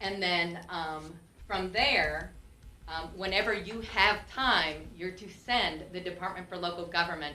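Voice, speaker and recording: Audible room echo and noticeable background noise both come through in the clip. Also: woman. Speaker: former county treasurer. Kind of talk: testimony under questioning at public meeting. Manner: loud.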